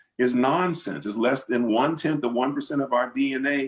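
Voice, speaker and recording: A man's medium-pitched, plain, everyday voice with lively intonation. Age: 60s. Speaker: pastor and author. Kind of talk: panel discussion Q and A. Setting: video call.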